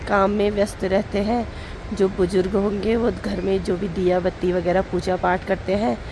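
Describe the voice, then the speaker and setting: Here a woman speaks at a medium pitch. There is noticeable background noise. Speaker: vlogger. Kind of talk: casual vlog narration.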